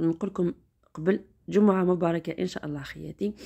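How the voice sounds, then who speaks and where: Over a quiet background, a woman's speech moves fairly quickly. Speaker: vlogger driving. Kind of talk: casual vlog chat. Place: car. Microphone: phone near.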